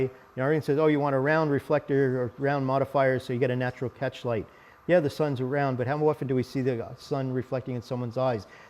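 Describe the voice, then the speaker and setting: With an American accent, a man speaks using fairly even intonation. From US East Coast. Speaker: photography presenter. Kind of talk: tutorial. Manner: fast.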